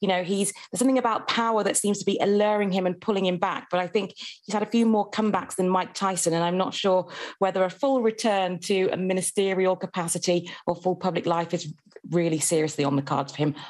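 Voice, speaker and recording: This woman talks at a very fast pace with a British accent and ordinary pitch variation. The background is quiet. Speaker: journalist; journalist, newspaper reviewer. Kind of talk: newspaper review. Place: home room. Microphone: video call.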